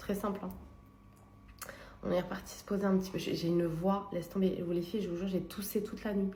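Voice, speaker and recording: A woman speaks fairly quickly, her voice carrying an audible room echo over clear background noise. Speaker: lifestyle vlogger. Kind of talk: vlog. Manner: animated.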